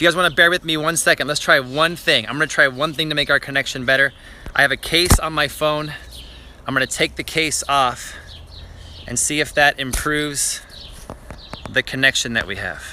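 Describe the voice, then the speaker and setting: A man's fairly high voice at a fairly quick pace, broken by long, frequent pauses, over noticeable background noise. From western Canada (Richmond, British Columbia). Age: 30s. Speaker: gardening YouTuber. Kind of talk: live-stream garden tour. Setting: outdoors in backyard garden. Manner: animated.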